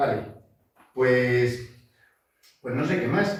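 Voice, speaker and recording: In a room with audible echo, a man speaks at a moderate pace and a medium pitch. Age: 60s. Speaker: botanist and environmental consultant. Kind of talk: lecture. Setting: seminar talk with audience. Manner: halting, many fillers.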